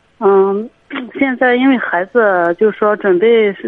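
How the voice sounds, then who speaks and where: A woman talks at a moderate pace in a medium pitch for a woman, with ordinary pitch variation. Hers is an unremarkable speaking voice. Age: 20s. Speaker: radio call-in caller, print shop worker. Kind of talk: call-in advice conversation.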